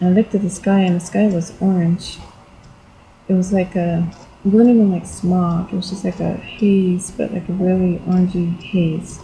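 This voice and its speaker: A woman's medium-pitched, somewhat breathy voice with a dark, mellow tone, flat monotone intonation, and a moderate pace. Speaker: video blogger. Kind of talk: personal testimony vlog. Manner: halting, many fillers.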